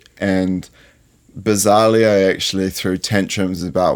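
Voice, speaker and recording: With a New Zealand accent, a man speaks in a very deep, low pitch. His delivery is fairly slow, with a monotone, flat intonation. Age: 20s. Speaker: fashion designer. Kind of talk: interview. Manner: halting.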